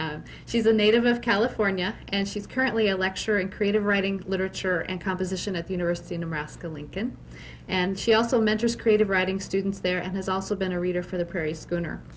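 Speaking very fast with vocal fry, a woman keeps a medium pitch and fairly even intonation. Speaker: library curator. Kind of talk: formal event introduction. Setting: library event with live audience.

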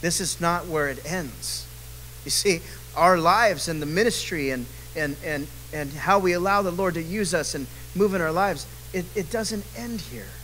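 A man speaks at a moderate speed, with some light noise in the background. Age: 40s. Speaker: men's Bible study leader; bible study teacher. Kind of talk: Bible study teaching. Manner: casual, animated. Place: church. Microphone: handheld.

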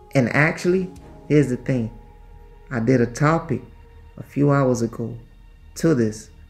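Faint background music under a man's moderate pace. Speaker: vlogger. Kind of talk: casual vlog chat. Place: home room. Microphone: phone near.

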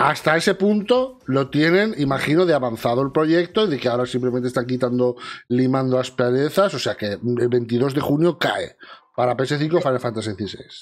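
Against a quiet background, the speaker talks at a moderate pace in an animated tone with lively intonation. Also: man. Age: 40s. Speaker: video game news host. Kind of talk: casual chat. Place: home room.

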